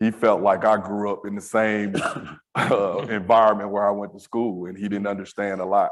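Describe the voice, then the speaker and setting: The man talks at a fairly quick pace. His pitch sits fairly low. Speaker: school safety director. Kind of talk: panel discussion.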